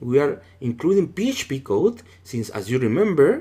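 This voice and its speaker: Fairly slow delivery with a non-native accent. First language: not English. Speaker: cybersecurity instructor. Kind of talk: tutorial. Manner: casual, conversational.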